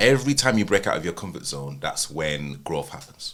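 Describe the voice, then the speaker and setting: A man at a moderate pace. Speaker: wedding videographer and podcaster. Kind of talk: podcast conversation. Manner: halting, many fillers.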